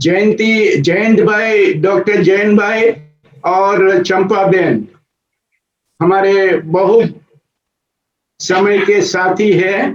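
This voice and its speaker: A man with a Gujarati accent speaks at a high pitch with fairly even intonation, very even loudness and long, frequent pauses. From Gujarat, India. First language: Gujarati (speaking Hindi). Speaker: spiritual organization coordinator. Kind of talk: testimony. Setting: video call.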